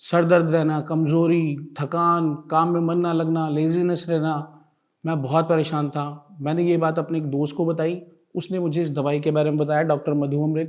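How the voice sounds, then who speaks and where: The recording is very clean, with a silent background. A man talks in a fairly high pitch with monotone, flat intonation. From Bihar, India. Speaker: lecturer giving product testimonial. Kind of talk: testimonial.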